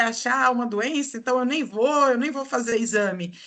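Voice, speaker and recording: A woman speaks at fairly high pitch with ordinary pitch variation. Her tone is bright and sharp. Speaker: food microbiology professor. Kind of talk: podcast interview.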